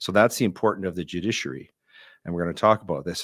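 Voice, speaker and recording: A man speaks in a Canadian accent with a very deep, low pitch. The recording is very clean, with a silent background. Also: dry, close sound with no echo. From Alberta, Canada. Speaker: podcast host, constitutional lawyer. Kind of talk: interview podcast.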